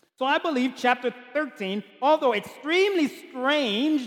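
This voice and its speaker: A man's animated voice at a fairly slow pace, with noticeable background noise. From Haiti. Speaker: pastor. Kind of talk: sermon. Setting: church.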